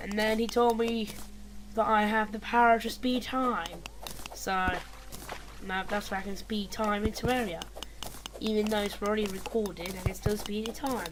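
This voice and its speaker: A woman talks at a moderate pace with a fairly high pitch and monotone, flat intonation, leaving long, frequent pauses. Noticeable background noise and audible room echo are present. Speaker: gaming video commentator. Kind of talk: gameplay commentary. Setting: at home at night, people sleeping. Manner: quiet, hushed so as not to wake others.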